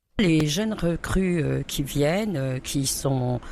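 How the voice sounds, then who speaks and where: With noticeable background noise, a woman speaks very slowly in a very deep, low pitch, using ordinary pitch variation. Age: 60s. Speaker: food bank volunteer coordinator. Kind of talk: interview testimony. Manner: hesitant with fillers.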